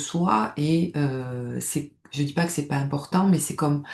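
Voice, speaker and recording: In a southern French accent, a woman speaks with a very deep, low pitch. Her tone is dark and mellow, and her pace is fairly slow. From southern France, Nice. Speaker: stress management coach, former nurse. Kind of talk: personal testimony to camera. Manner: hesitant, many fillers and repetitions.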